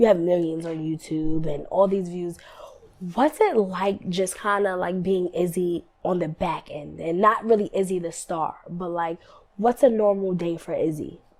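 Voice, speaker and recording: Fairly slow and upbeat, enthusiastic in tone, a woman with a New York accent speaks at a fairly low pitch with ordinary pitch variation. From New York City. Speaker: interviewer, show host. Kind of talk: casual interview questions.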